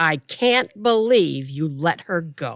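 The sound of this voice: A woman puts on a character voice, pitched low and delivered at a slow pace. Her intonation stays lively throughout.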